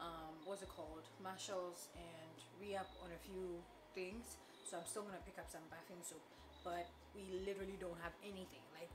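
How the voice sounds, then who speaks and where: With noticeable background noise behind her, a woman speaks at a fairly low pitch in a monotone, flat intonation. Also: moderate pace. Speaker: vlogger. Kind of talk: casual vlog chat. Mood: relaxed, chatty. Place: kitchen. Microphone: camera far.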